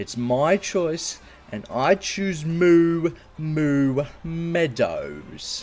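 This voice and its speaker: Delivery here is very slow. It comes in a put-on character voice. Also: man, high pitch for a man. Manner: stern.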